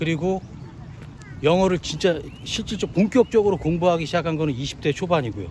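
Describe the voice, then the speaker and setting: A man's fairly high voice, lively in intonation and fairly quick, broken by long, frequent pauses. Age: 50s. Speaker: trade business owner. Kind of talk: casual talk to camera.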